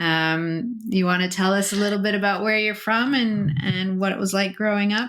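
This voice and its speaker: A woman with an American accent and an ordinary speaking voice, medium in pitch, at a moderate pace with fairly even intonation, very even loudness and hardly any pauses. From US, Colorado. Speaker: podcast host. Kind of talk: interview. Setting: podcast.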